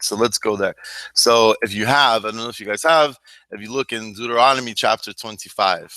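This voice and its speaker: A man with a bright, sharp tone speaks at a fairly quick pace with fairly even intonation and big swings in loudness, in a very clean, silent recording that sounds dry and close with no echo. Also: medium pitch for a man. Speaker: Bible study teacher. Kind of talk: Bible study class. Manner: casual, halting with fillers.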